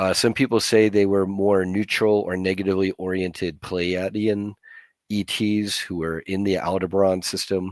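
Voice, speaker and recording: A man with an American accent speaks at a very deep, low pitch and a moderate pace. His intonation is monotone and flat, in a very clean recording with a silent background. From US, Chinese American family. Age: 50s. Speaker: disclosure movement activist. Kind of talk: podcast interview. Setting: livestream.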